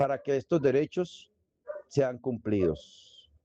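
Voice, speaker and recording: Dry and close with no echo, a man's dark, mellow voice moves at a very slow pace with ordinary pitch variation. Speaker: instructor. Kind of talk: online lecture.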